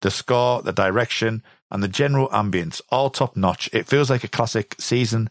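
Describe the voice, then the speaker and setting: A man's medium-pitched voice with a British accent and ordinary pitch variation, at a moderate pace, in a dry, close sound without echo. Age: 40s. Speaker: podcast host. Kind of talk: casual chat.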